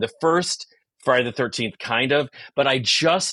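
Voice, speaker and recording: Here a man speaks at medium pitch with ordinary pitch variation, his tone bright, sharp and animated. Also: quiet background. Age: 60s. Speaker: comedian and actor. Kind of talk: casual chat.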